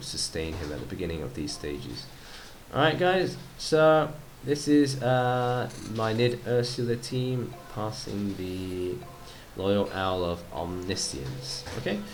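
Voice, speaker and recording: Very wide pitch swings mark this man's speech, which carries audible room echo. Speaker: gaming youtuber. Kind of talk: gameplay commentary. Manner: halting, many fillers; casual.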